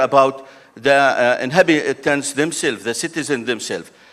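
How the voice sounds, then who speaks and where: At a moderate pace, a man talks with an Arabic accent. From Jordan. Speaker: renewable energy developer, panelist. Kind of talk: panel discussion. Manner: halting, many fillers.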